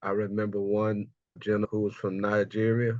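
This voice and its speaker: Here a man with an American accent talks at a fairly low pitch. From US South, Houston, Texas. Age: 60s. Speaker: cultural memory specialist. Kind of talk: interview conversation, personal storytelling.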